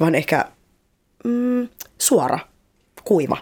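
A woman talks with very wide pitch swings. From Colombia, Cali; Finland from age 11. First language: Spanish (speaking Finnish). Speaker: guest. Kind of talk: casual chat. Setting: studio. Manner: outgoing, not introverted.

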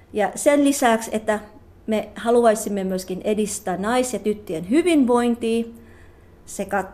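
A woman's fairly high voice, very slow, with lively intonation. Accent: Tagalog. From Philippines, Cavite City. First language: Tagalog (speaking Finnish). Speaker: psychologist. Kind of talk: interview. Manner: halting.

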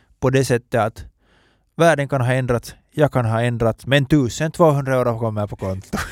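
A man's medium-pitched voice with ordinary pitch variation at a moderate pace, dry and close with no echo, in a very clean recording with a silent background. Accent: Finland-Swedish. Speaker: podcast host. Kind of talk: casual chat.

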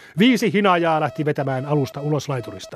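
A man talking at a fairly quick pace, dry and close with no echo, music in the background. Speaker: newsreader. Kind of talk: period newsreel-style news reading, scripted and solemn like a 1912 bulletin. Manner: measured, clear and authoritative, newsreader cadence.

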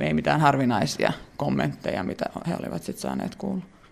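A man speaks at a fairly quick pace with a Finnish accent. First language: Finnish (speaking Swedish). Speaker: researcher. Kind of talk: interview.

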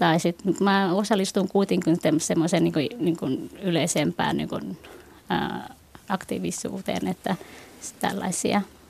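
Noticeable background noise runs under the recording. A woman speaks at a very slow pace. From Finland, moved from Vietnam at age 7. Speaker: Buddhist youth organization member. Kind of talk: radio panel discussion. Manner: hesitant, many fillers.

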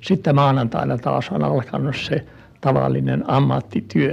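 The pace is fairly slow. Noticeable background noise can be heard. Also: man. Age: 80s+. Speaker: art collector. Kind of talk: interview. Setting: at home.

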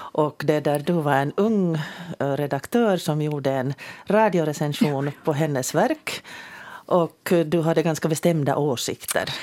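A fairly slow delivery with very even loudness and ordinary pitch variation. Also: woman, very deep, low pitch for a woman. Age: 60s. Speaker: radio host. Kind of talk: radio panel discussion. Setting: studio.

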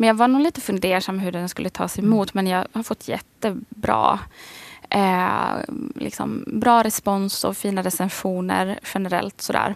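A woman with a medium pitch and ordinary pitch variation speaks at a fairly slow pace. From Sweden, Västerås. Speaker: high school teacher and author. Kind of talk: radio interview.

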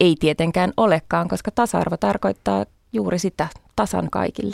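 The recording of this woman is dry and close, without any echo. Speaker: party chair, feminist politician. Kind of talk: radio interview. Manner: hesitant, many fillers.

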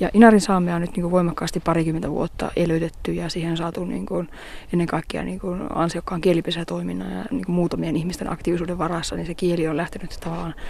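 A woman speaks very fast at a fairly low pitch, with noticeable background noise. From Finnish Lapland, Inari. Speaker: theatre director and Sámi activist. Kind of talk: interview. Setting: outdoors on a fell top.

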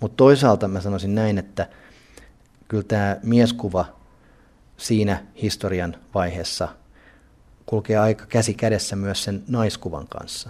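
At a fairly slow pace, a man with a fairly low pitch speaks in fairly even intonation, leaving long, frequent pauses. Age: 40s. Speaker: art museum director. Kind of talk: interview.

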